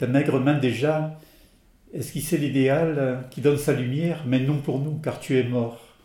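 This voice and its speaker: A somewhat breathy man talks at a fairly slow pace, in a medium pitch with fairly even intonation. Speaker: French translator reader. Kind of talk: reading aloud, translation of poems.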